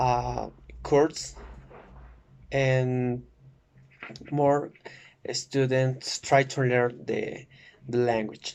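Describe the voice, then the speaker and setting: In a Spanish accent, a man speaks at a medium pitch and a very slow pace, flat and monotone, with long, frequent pauses. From Oaxaca, Mexico. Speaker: student. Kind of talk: class presentation. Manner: halting, many fillers.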